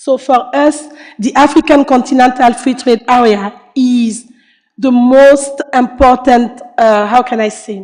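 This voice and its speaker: With a high pitch and fairly even intonation, a woman speaks at a fairly slow pace. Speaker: panelist from international trade agency. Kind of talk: panel discussion. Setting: conference panel.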